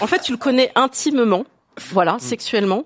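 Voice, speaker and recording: A woman's normal speaking voice, fairly quick with lively intonation, dry and close with no echo, on a very clean recording with a silent background. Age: 40s. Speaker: woman asking a dating question. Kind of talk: casual chat.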